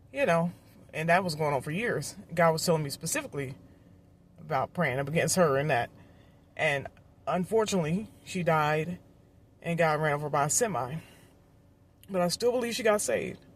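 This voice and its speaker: A woman with a fairly low, somewhat breathy voice talks at a fairly quick pace, with lively intonation and long, frequent pauses. The recording is very clean, with a silent background. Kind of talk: testimony. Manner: fast.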